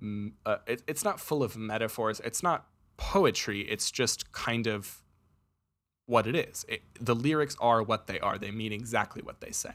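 A man with an ordinary speaking voice, medium pitch and lively intonation, at a moderate pace, in a very clean recording with a silent background. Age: 20s. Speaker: student sound tech director and podcast host. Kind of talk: casual chat.

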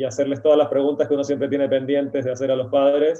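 A man talking at a very fast pace. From Argentina. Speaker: writer. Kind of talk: interview.

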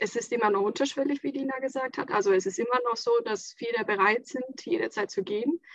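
A woman speaks at a fairly quick pace with hardly any pauses. Her high voice carries lively intonation. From Estonia, near Latvian border. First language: Estonian (speaking German). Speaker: school head and designer. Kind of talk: casual chat.

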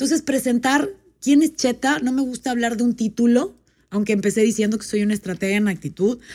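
At a fairly quick pace, a woman speaks in a fairly high voice with a dark, mellow tone and ordinary pitch variation. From Panama. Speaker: life and business coach. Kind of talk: storytelling; casual interview.

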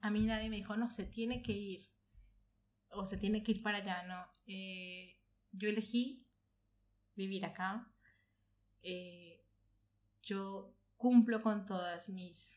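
A woman speaks at a very slow pace, with long, frequent pauses and a medium pitch. Her voice is somewhat breathy, with fairly even intonation and big swings in loudness. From Colombia, Bogotá. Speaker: audiovisual producer. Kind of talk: casual chat. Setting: at home sharing mate.

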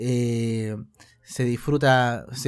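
This is a man speaking. He talks with a Chilean accent. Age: 20s. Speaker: video game streamer. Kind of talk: casual interview. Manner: halting, many repetitions.

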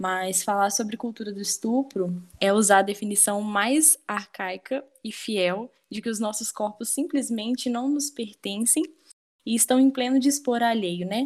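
Somewhat breathy, a woman speaks fairly slowly in a fairly high pitch with ordinary pitch variation. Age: 20s. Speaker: law student and feminist activist, guest host. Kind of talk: casual discussion.

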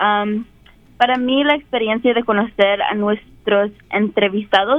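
A woman speaks in an ordinary speaking voice. Her pitch is fairly high, with ordinary variation. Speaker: university student. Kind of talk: personal testimony. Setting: classroom.

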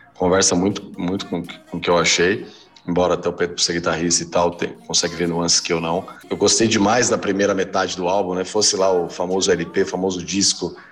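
Over background music, a man with a very deep, low pitch talks fairly quickly in a monotone, flat delivery. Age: 40s. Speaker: music podcast co-host. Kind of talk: casual chat.

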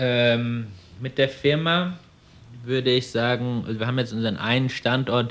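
With ordinary pitch variation and a moderate pace, a man speaks at a medium pitch in an unremarkable speaking voice. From Germany, Frankfurt am Main. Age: 20s. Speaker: young entrepreneur, car dealer. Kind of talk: interview. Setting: showroom.

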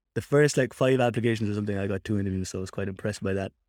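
A man speaks with a Cork accent and ordinary pitch variation. The very clean recording has a silent background and a dry, close sound with no echo. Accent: Cork Irish. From Ireland, Cork. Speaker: software engineer. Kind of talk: casual chat.

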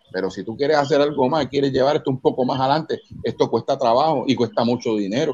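With a Puerto Rican accent, a man talks very fast at a fairly high pitch with ordinary pitch variation. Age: 50s. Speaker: metal band vocalist. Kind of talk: casual interview chat. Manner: animated.

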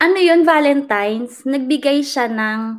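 The woman's pitch moves up and down in a typical, unremarkable way. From Philippines, Orion Bataan. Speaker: vlogger. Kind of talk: interview.

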